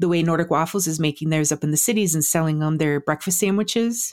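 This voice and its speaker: On a very clean recording with a silent background, a woman with an Upper Midwest accent speaks at a fairly low pitch. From South Dakota. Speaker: podcaster and food blogger. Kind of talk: casual interview.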